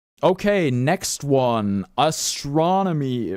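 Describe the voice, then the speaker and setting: A man with a German accent speaks with very wide pitch swings. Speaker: streamer. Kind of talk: livestream commentary. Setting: livestream. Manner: halting.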